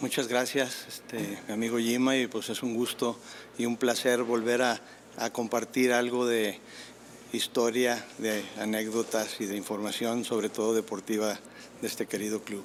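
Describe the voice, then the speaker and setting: In a monotone, flat intonation, a man talks fairly slowly. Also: medium pitch for a man. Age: 60s. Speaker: tennis figure. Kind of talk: interview.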